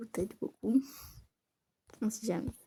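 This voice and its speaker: Somewhat breathy, a woman with a fairly high pitch has a dark, mellow tone. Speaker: gaming youtuber. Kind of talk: casual let's-play commentary.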